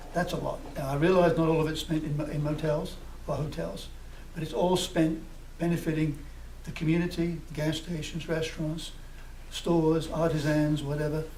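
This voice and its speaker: A man speaks in a fairly high pitch with monotone, flat intonation. Audible room echo and noticeable background noise fill the recording. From United Kingdom. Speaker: festival committee representative. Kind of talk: public comment at council meeting. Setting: public meeting. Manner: fast.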